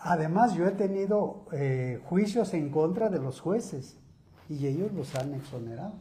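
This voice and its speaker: A high-pitched man's voice, dark and mellow in tone, with lively intonation and audible room echo. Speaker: lawyer and author. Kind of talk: interview.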